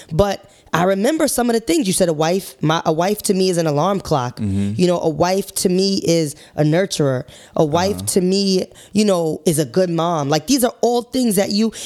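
A woman's animated, medium-pitched voice at a moderate pace, with lively intonation and very even loudness. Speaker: podcast co-host. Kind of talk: casual chat.

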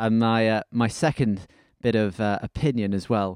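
With a Welsh accent, a man talks at a medium pitch. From Wales. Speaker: football fan podcast co-host. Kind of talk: casual chat.

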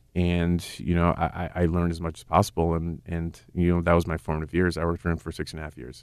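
The speech races along at a very fast pace in a monotone, flat intonation, with hardly any pauses. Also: man, very deep, low pitch for a man. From New York City, Queens. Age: 40s. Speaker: chef. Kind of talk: casual interview.

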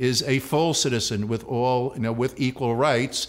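A man talks with a New York accent at a medium pitch. His pace is moderate and his intonation fairly even. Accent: New York City. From New York City, the Bronx. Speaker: university president. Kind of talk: interview. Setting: studio.

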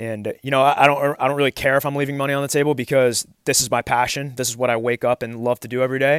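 A man speaks at a very fast pace in a monotone, flat delivery, with a dry, close sound and no echo. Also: medium pitch for a man, very clean recording, silent background. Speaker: baseball strength coach. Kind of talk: solo podcast monologue. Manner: fast talker when fired up; casual, conversational.

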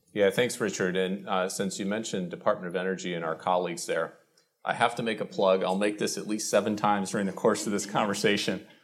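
A man speaks very fast with an American accent and a fairly low pitch. His intonation stays fairly even. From Illinois, US Midwest. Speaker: government energy official. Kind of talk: live interview at public event. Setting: stage with live audience.

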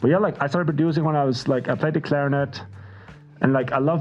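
With a Faroese accent, a man talks at a fairly quick pace. Noticeable background noise can be heard. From Faroe Islands, small village. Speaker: music producer. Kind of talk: casual chat.

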